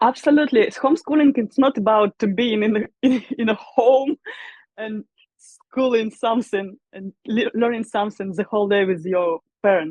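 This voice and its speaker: A woman with a Russian accent, her pitch fairly high and its variation ordinary. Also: moderate pace. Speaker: musician and vocal teacher. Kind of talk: interview. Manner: halting.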